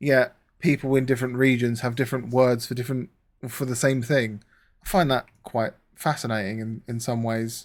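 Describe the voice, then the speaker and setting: A man with a southern English accent speaks at a moderate pace and medium pitch, with fairly even intonation. The recording is very clean, with a silent background. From southern England. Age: 30s. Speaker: gaming streamer. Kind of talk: casual live-stream chat while gaming.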